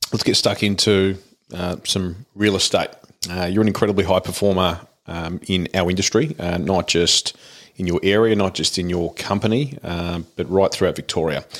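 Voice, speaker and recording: A man speaks in a very deep, low pitch with an Australian accent. His pace is moderate and his pitch varies in an ordinary way. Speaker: podcast host. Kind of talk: casual interview chat.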